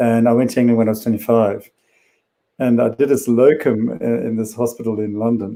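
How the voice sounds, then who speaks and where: With a South African accent, a man speaks at a fairly quick pace in a medium-pitched, dark, mellow voice with monotone, flat intonation. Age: 50s. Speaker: psychiatrist. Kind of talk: interview.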